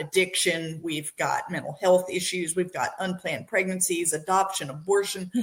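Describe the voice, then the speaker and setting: A woman with an ordinary speaking voice at a moderate pace. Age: 60s. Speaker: podcast host. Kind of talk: interview. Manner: casual, conversational.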